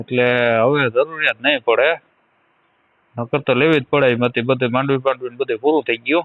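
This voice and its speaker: A man talks at a medium pitch with fairly even intonation and very even loudness. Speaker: villager. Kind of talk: phone conversation. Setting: phone line.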